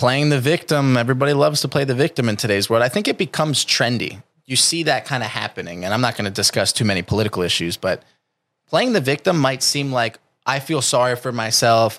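At a very fast pace, the speech has lively intonation in a very clean recording with a silent background. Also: man, medium pitch for a man. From New Jersey. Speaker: calisthenics coach. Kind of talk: casual interview chat. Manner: intense, forceful.

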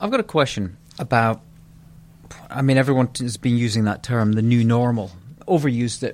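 A man speaks at a fairly quick pace with medium pitch and ordinary pitch variation, yet leaves long, frequent pauses. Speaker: podcast host. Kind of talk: interview and scripted intro.

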